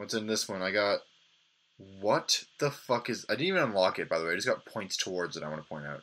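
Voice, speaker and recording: The man's voice is bright and sharp, with a fairly low pitch. He talks very fast with lively intonation. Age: 20s. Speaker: gaming video host. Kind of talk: gameplay commentary. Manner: animated. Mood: sarcastic, mildly exasperated. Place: home room.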